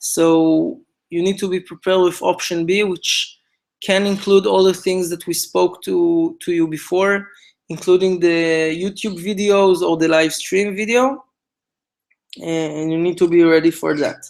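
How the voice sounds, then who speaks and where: With an Israeli accent, a man speaks in a high voice and fairly even intonation. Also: fairly slow pace. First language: Hebrew. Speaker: event organizer, co-founder of a commemoration project. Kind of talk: instructional briefing. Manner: halting, many fillers.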